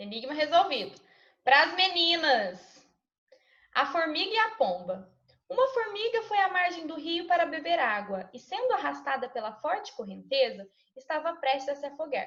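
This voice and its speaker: A woman speaks at a high pitch with a bright, sharp tone and very wide pitch swings. Her pace is fairly slow, broken by long, frequent pauses. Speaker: primary school teacher. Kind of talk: online class quiz; reading aloud. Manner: animated.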